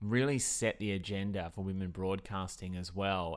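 Recorded very cleanly with a silent background, a man with an Australian accent speaks in a very deep, low pitch with fairly even intonation. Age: 30s. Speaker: podcast host. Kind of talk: scripted narration.

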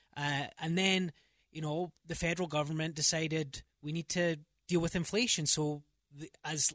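A man speaks in a Scottish accent. The sound is dry and close, with no echo. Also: quiet background. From Scotland. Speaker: real estate agent. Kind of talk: casual radio interview. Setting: radio studio.

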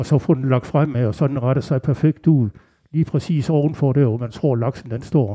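A medium-pitched, somewhat breathy male voice, moderately paced, with normal pitch movement. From Denmark, Aarhus. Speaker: angler. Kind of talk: interview. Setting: local venue.

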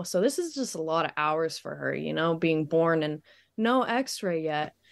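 Against a quiet background, a woman with an ordinary speaking voice talks at a moderate pace. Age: 20s. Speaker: young mother and aerialist. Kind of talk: casual interview.

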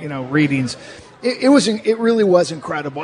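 A man with a high pitch in an animated, excited tone, against noticeable background noise. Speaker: radio host and former player. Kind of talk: sports commentary, film breakdown.

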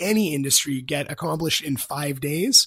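At a moderate pace, a man speaks in a plain, everyday voice with fairly high pitch. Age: 30s. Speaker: cannabis company founder. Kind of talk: business interview.

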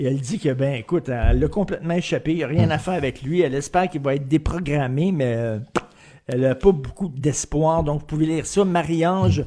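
Speaking at a fairly quick pace, a man has a plain, everyday voice, fairly high in pitch with ordinary pitch variation. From Montreal (Verdun), Quebec. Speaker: opinion columnist. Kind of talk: commentary.

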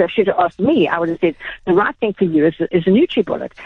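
A woman with a South African accent, medium-pitched, at a very fast pace. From South Africa, Durban. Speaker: retail executive. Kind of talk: radio interview.

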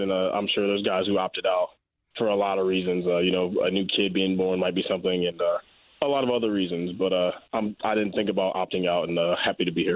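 A man rattles off words at a very fast pace with an American accent. His very deep, low voice stays monotone and flat. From Raleigh, North Carolina, US South. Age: 20s. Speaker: pro football player. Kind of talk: interview.

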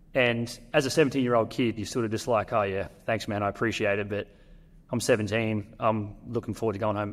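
In an Australian accent, a man speaks with a fairly low pitch and fairly even intonation. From North Queensland, Australia. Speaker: professional basketball player. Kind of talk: interview. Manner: halting.

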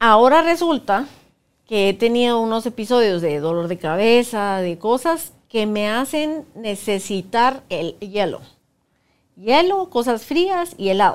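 In a very clean recording with a silent background, a woman speaks very slowly at a fairly high pitch, her pitch swinging very widely. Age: 50s. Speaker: workshop facilitator. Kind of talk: casual chat. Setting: studio.

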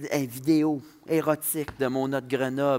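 A man with a Saguenay accent speaks in a fairly high voice. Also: very clean recording, silent background. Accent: Saguenay Quebec French. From Quebec, Saguenay. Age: 20s. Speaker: comedian. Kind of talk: casual chat. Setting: stage with audience.

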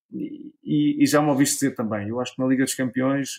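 A man talks at a moderate pace. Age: 40s. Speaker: former footballer and sports pundit. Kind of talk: casual interview. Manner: halting, frequent repetitions.

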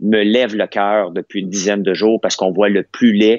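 The speaker talks at a moderate pace in a Quebec accent. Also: man. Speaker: business owner and commentator. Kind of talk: heated debate. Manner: animated.

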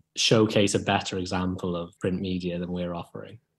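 A man talks in a Welsh accent at a fairly quick pace. The background is quiet. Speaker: magazine co-editor. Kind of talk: interview.

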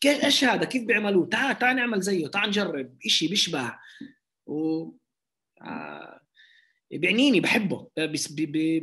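A man's high-pitched, bright, sharp voice at a moderate pace with very wide pitch swings. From Lod, Palestinian citizen of Israel. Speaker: rapper. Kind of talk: interview.

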